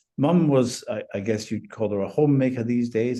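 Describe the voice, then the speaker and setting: Speaking with a Scottish accent at a moderate pace, a man has a dark, mellow tone and fairly even intonation. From Scotland, Lanarkshire. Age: 70s. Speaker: retired finance professional. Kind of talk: interview.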